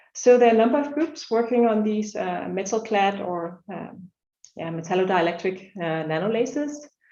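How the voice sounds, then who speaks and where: With audible room echo, a woman talks at a fairly quick pace in a medium-pitched voice that has a dark, mellow tone and lively intonation. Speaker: research scientist presenting at a laser workshop. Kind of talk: conference talk. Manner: fast; hesitant with many fillers.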